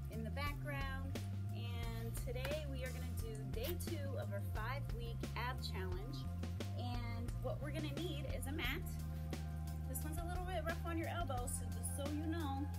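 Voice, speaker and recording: A woman at a moderate pace over loud music in the background. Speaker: fitness instructor. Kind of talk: tutorial. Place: garden. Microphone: camera far.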